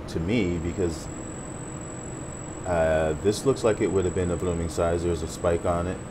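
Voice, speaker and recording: A man at a moderate pace, with noticeable background noise. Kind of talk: casual vlog chat. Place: home room. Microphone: phone near.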